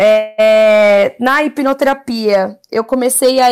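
A woman speaks here. Her pitch is fairly high and her intonation fairly even. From Brazil, São Paulo (Zona Norte). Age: 20s. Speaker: product designer. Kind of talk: casual interview. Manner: halting, many fillers.

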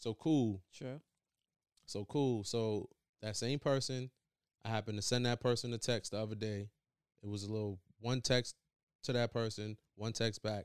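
The recording is very clean, with a silent background. A man speaks at medium pitch with fairly even intonation and long, frequent pauses. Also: moderate pace. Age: 30s. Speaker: podcast co-host. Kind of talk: casual chat.

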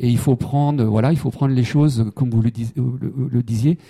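A man's somewhat breathy voice, dark and mellow in tone, with a dry, close sound and no echo. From Brittany, Saint-Brieuc. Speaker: humanitarian worker. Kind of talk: interview. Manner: halting, many repeated words.

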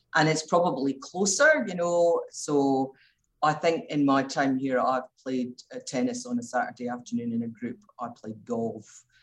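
This woman has a very deep, low pitch and a Scottish accent. Her intonation is lively. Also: moderate pace. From Scotland, Glasgow. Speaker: intensive care doctor. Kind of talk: interview.

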